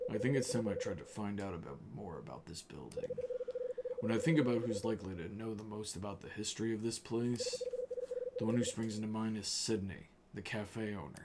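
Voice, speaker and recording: Put-on, raspy character voice from a man at medium pitch, fairly quick pace and ordinary pitch variation, over loud background noise. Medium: game stream.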